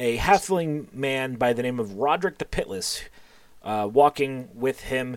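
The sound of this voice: This is an unforced reading voice. It carries through the whole clip.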